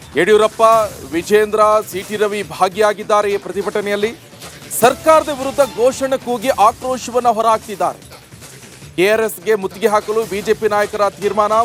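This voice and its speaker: A man talks at a high pitch with fairly even intonation. Noticeable background noise runs underneath. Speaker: news anchor. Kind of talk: TV news report.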